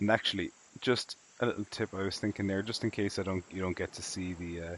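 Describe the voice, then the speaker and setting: Very fast speech in an Irish accent, monotone and flat. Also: man, fairly low pitch for a man. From Ireland, southwest coast. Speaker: video game streamer. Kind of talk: live-stream commentary. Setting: live stream. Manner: casual, with many fillers.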